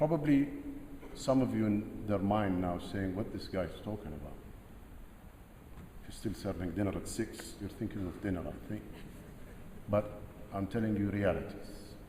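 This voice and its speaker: With audible room echo, a man speaks at a moderate pace in a fairly low voice, showing ordinary pitch variation and leaving long, frequent pauses. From Jordan. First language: Arabic. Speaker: military general and security chief. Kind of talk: speech to cadets. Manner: emphatic, repetitive phrasing.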